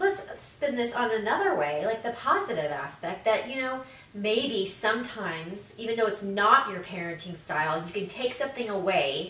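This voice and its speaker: Amid audible room echo, a woman talks with hardly any pauses. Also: moderate pace. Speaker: co-host. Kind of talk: casual conversational chat. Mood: warm, light, laughing. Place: home room.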